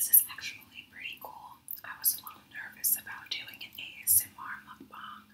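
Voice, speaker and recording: The pace here is moderate. It's a woman, and she whispers. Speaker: ASMR mukbang creator. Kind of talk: ASMR eating video talk. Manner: whispered. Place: home room. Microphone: studio mic.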